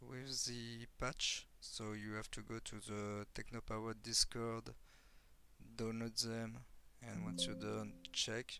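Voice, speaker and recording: A man talks at a very slow pace. He has a strong French accent. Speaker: software developer. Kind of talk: software tutorial. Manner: halting, many fillers.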